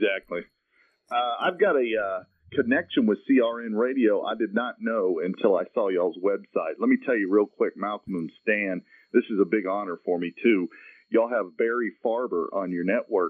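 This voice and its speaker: At a moderate pace, a man speaks in a Southern US accent with a medium pitch and ordinary pitch variation. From US South, Marietta, Georgia. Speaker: comedian. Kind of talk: radio interview.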